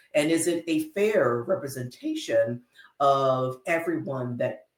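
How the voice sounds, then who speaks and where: A somewhat breathy man at a fairly slow pace. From San Diego, US. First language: Spanish. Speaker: AI certification coach. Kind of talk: casual educational chat.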